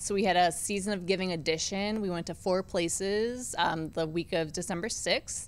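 Medium pitch from a woman, fairly even intonation, a moderate pace and hardly any pauses. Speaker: team community relations staffer; guest. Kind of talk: casual interview. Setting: studio in arena. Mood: calm, friendly. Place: studio. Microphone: studio mic.

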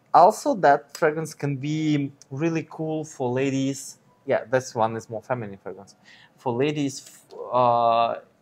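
A man talks at a fairly slow pace with fairly even intonation. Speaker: fragrance reviewer. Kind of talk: casual review chat. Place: home room. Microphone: lapel.

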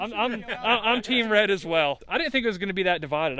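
This man talks at a very fast pace, the sound dry with no echo. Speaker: shop owner vlogger. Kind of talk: casual vlog chat. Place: street. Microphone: phone near.

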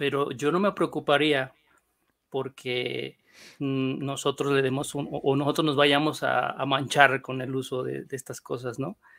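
A man's fairly high, monotone voice with flat intonation and vocal fry. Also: fairly slow pace. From northern Mexico (Monclova, Coahuila). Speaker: panel guest. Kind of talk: casual panel discussion.

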